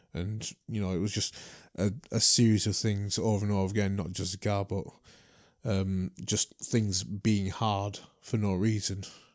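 A man with a Yorkshire accent, fairly low in pitch and monotone and flat in intonation, against a quiet background. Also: fairly slow pace. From Leeds, England (born in Trinidad, moved at four). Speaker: martial arts teacher and former kickboxer. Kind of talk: casual interview conversation.

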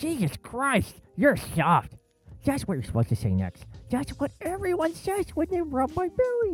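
Someone speaks at a moderate pace in a put-on character voice. Faint music plays in the background.

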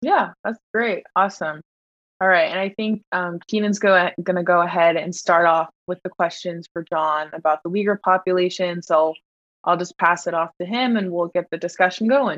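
A woman speaks with an American accent at a moderate pace. Her pitch is fairly low and her intonation fairly even. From California, Bay Area. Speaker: student podcast host. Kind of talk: casual podcast chat.

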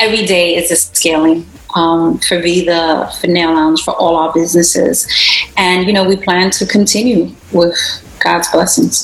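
A woman with a New York accent at a moderate pace, fairly even intonation and very even loudness, over noticeable background noise. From US, Brooklyn, New York (Puerto Rican descent). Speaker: beauty business owner. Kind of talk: interview.

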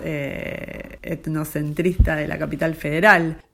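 A woman at a very deep, low pitch, in a monotone, flat intonation, at a very slow pace. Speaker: photographer. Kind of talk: recorded interview.

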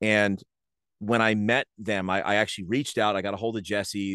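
A man's fairly low voice in an American accent, dry and close with no echo, against a quiet background. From New Jersey (Rahway). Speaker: sports announcer and in-game host. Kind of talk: casual interview chat.

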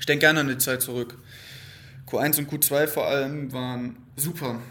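With audible room echo, a man at a medium pitch speaks in a monotone, flat intonation. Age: 20s. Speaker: podcast host, psychology student. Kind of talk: solo unscripted monologue. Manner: casual, conversational.

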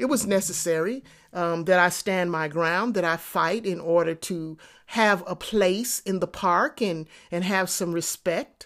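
A woman's ordinary speaking voice, fairly low in pitch, at a fairly slow pace with ordinary pitch variation, on a very clean recording with a silent background. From Texas, then New York City projects. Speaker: podcast host, entrepreneurship coach. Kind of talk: motivational monologue. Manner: conversational with frequent fillers and repetitions.

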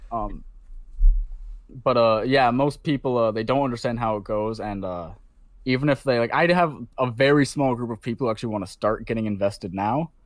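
Heard in a very clean recording with a silent background, a man has an ordinary speaking voice, medium pitch, ordinary pitch variation and a fairly quick pace. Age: 20s. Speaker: crypto investor. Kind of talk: casual interview.

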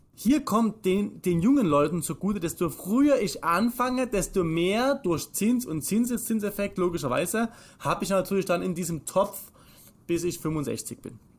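The man's pitch is high. His intonation is lively. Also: moderate pace. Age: 30s. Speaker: financial advisor. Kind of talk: casual chat.

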